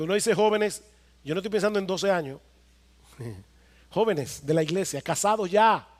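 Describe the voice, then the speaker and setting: The speaker moves at a fairly quick pace but leaves long, frequent pauses, with ordinary pitch variation. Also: man, high pitch for a man. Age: 50s. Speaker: pastor. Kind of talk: sermon. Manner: emphatic, repetitive exhortation.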